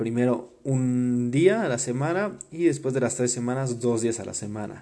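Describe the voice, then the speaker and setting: Over noticeable background noise, a man with a medium-pitched voice talks at a moderate pace with hardly any pauses and ordinary pitch variation. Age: 20s. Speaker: podcast host. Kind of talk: personal storytelling monologue. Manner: casual, filler-heavy with repetitions.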